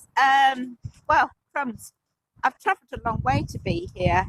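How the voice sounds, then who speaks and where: A woman with an English accent speaks in a bright, sharp tone. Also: dry, close sound with no echo. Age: 60s. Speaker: climate protester. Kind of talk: street interview. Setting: outdoors at a protest blockade. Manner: halting, many repetitions.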